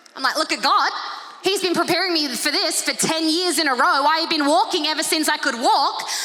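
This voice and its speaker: A woman with an Australian accent speaks in an extremely high, animated, raised and projected voice, with ordinary pitch variation and very even loudness. Noticeable background noise and audible room echo are present. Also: fairly quick pace. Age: 30s. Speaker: pastor. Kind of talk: sermon. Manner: fast.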